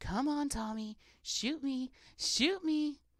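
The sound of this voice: Using a put-on character voice, a woman speaks very slowly in a squeaky, high-pitched tone.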